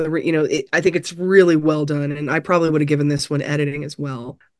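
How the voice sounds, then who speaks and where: This woman's voice sits very deep and low, with a monotone, flat intonation. She talks at a fairly quick pace over a quiet background. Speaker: podcast co-host, film reviewer. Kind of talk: casual chat.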